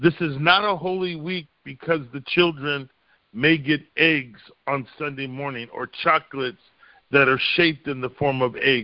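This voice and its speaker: Moderate speed and fairly high pitch from a man with an ordinary speaking voice and ordinary pitch variation. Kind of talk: sermon-style Bible lesson. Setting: phone call.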